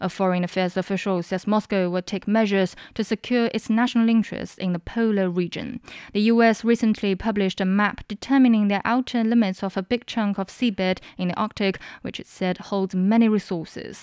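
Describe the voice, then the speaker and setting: An ordinary speaking voice with fairly even intonation and hardly any pauses, a dry, close sound with no echo, and a very clean recording with a silent background. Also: woman, medium pitch for a woman, fairly quick pace. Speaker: news headline reader. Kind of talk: news reading. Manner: formal, brisk, even headline delivery.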